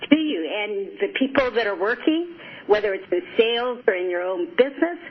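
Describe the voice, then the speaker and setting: Over noticeable background noise, a woman with a high pitch speaks at a moderate pace, her pitch swinging very widely. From Japan, moved to US at age seven. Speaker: psychologist and life coach. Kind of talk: radio interview.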